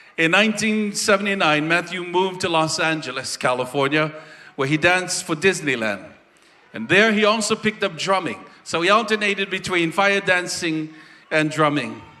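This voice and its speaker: Over noticeable background noise, a man with a high pitch speaks at a moderate pace and ordinary pitch variation. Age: 60s. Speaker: festival presenter giving a tribute. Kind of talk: stage tribute speech.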